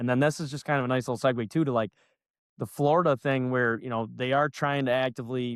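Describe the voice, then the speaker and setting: With an American accent, a man at a medium pitch speaks very fast with fairly even intonation, and the sound is dry and close with no echo. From Northern New York. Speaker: loan officer, podcast host. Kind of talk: casual interview chat. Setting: live show.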